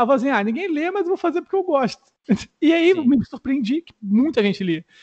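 Extremely high male voice at a fairly quick pace, with very wide pitch swings and a dry, close sound with no echo. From Rio de Janeiro. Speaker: content creator. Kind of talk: casual chat.

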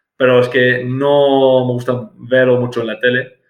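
A man with an English accent at a fairly slow pace. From England, small village. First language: English (speaking Spanish). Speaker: amateur cricket club president. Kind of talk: interview. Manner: halting, many fillers and repetitions.

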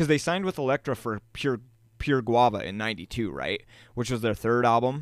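A man with a normal speaking voice and an American accent, medium in pitch, with lively intonation. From United States. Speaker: music history podcaster. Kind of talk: casual chat.

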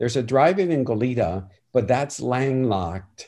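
With a Spanish accent, a man speaks using lively intonation. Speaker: film festival director.

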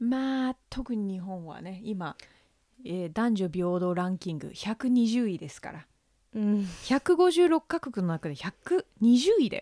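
Very slowly, a woman speaks in a dark, mellow tone at medium pitch, with very wide pitch swings and big swings in loudness, on a very clean recording with a silent background and a dry, close sound with no echo. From United States. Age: 30s. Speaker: podcast host. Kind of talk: casual chat. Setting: home recording studio. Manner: animated.

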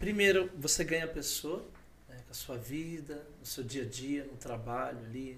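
A man talks at a fairly high pitch and a fairly slow pace, with ordinary pitch variation and big swings in loudness. Audible room echo colors the sound. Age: 40s. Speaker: elder and international trade professional. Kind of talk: casual chat. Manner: hesitant, repeating words.

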